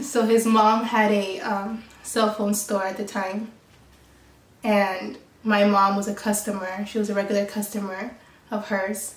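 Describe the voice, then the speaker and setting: A woman with a Californian accent speaks at a fairly slow pace, her medium-pitched voice monotone and flat. Noticeable background noise and audible room echo fill the recording. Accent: Californian American English. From Mexico then Colorado and San Diego, California. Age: 20s. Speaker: YouTuber. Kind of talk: casual chat.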